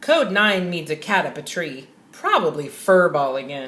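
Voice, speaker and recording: Putting on a character voice, a woman speaks at a moderate pace with a fairly low pitch, ordinary pitch variation and big swings in loudness. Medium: read story. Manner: loud, hearty.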